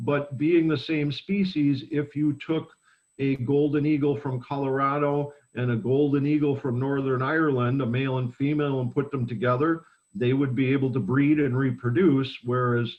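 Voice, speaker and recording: This is an ordinary speaking voice at a moderate pace. The intonation stays fairly even. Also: man, fairly high pitch for a man. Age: 60s. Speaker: bird sanctuary educator. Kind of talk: educational talk.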